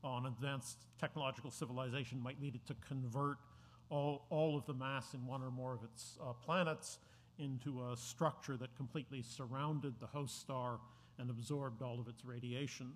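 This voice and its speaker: A man talks at a moderate pace in a somewhat breathy voice with monotone, flat intonation. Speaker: speaker. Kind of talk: introductory talk. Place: hall. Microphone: podium.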